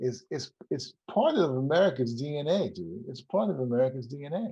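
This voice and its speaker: A man with a dark, mellow tone and a somewhat breathy voice speaks with lively intonation. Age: 70s. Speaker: documentary film director. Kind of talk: interview. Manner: animated.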